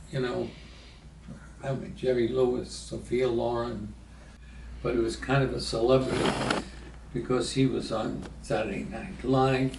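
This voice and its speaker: A man with an American accent talks at a fairly slow pace, pausing long and often. Background noise is noticeable. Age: 80s+. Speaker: former city government aide. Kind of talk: interview answer.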